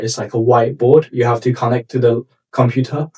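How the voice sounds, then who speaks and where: With a Chinese accent, a man speaks at a medium pitch and fairly even intonation, the sound dry and close with no echo. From China (Shanghai). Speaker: startup founder. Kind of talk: interview. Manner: halting, with frequent repetitions and fillers.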